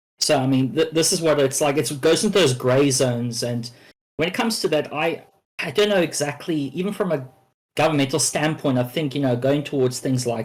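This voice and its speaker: A man with a medium pitch and ordinary pitch variation talks at a fairly quick pace in a somewhat breathy voice. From South Africa, moved to Australia at twelve. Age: 20s. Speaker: panel guest. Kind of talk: panel discussion. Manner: halting, many fillers.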